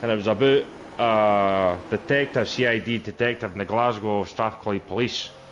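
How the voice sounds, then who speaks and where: With a central Scottish accent, a man talks at a moderate pace and medium pitch, with ordinary pitch variation and noticeable background noise. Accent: Scottish (central Scotland). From Scotland, Stirling. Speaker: sim racing league commentator. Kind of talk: live commentary; casual chat.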